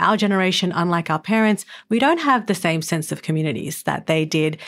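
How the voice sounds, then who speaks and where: A woman with an Australian accent talks at a fairly quick pace in a medium pitch, with lively intonation. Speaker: podcast host. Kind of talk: interview; scripted narration.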